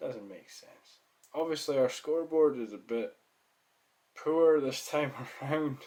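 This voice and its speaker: Speaking at a fairly slow pace with a Scottish accent, a man uses ordinary pitch variation, big swings in loudness, and long, frequent pauses. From Scotland. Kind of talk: casual gaming commentary.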